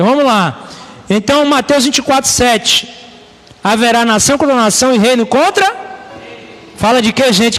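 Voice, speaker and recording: At a moderate pace but with long, frequent pauses, a man with an extremely high pitch talks with lively intonation over noticeable background noise. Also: very even loudness. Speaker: pastor. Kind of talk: bible study sermon. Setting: live stream.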